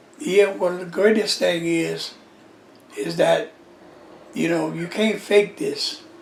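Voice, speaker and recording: A man talks at a very slow pace, with long, frequent pauses and big swings in loudness. Noticeable background noise is present. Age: 80s+. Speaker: Nation of Islam pioneer, former minister. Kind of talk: interview, oral history. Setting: at his daughter's house.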